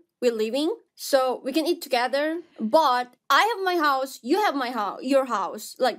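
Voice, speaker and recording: A woman with a Korean accent talks at a fairly slow pace in a high pitch, her intonation lively and her loudness swinging widely, with hardly any pauses against a quiet background. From South Korea. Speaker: streamer. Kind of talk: casual chat. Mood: playful, laughing. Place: home room.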